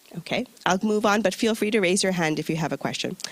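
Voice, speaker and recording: Over noticeable background noise, a woman with an American accent talks at a medium pitch with lively intonation. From US, New York. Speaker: UN recruitment officer. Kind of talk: presentation to audience. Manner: conversational, engaging.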